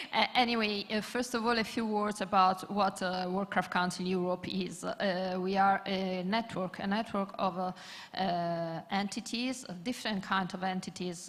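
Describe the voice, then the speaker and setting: Fairly slow, fairly evenly intoned speech from a woman at a medium pitch, with a non-native accent and hardly any pauses. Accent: non-native English speaker. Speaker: panelist, craft network representative. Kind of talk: conference panel talk. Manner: halting, many fillers.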